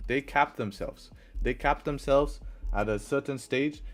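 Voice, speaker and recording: Over music in the background, a man with an English accent speaks at a moderate pace. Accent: English accent, noted by chat. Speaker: forex trader and live streamer. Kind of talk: live stream chat with viewers. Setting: live stream. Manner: casual, conversational.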